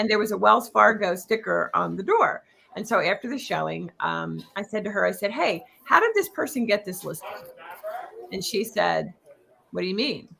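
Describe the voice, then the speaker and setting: This woman has a Philadelphia accent. She keeps a moderate pace. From Philadelphia area, US. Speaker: real estate coach. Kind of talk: interview.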